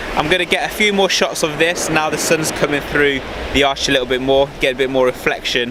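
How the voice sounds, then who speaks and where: A man speaks at a fairly quick pace with a fairly high pitch, ordinary pitch variation and very even loudness, over noticeable background noise. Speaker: photography vlogger. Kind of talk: casual vlog to camera. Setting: outdoors on the coast. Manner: loud, yelling.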